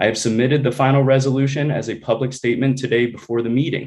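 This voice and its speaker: The intonation here is fairly even. It is an ordinary speaking voice. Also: man. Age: 30s. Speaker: energy policy researcher, public commenter. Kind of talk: public comment. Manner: formal.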